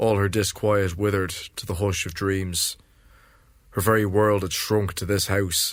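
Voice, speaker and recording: A man's fairly low voice comes at a fairly slow pace in a monotone, flat intonation. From Ireland. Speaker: poet and novelist. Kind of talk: literary prose reading.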